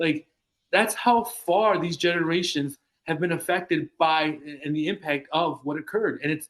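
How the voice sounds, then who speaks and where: Speaking at a moderate pace, a man uses a high voice with ordinary pitch variation. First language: Spanish. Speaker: clinical psychologist. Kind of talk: casual discussion. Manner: halting, many repeated words.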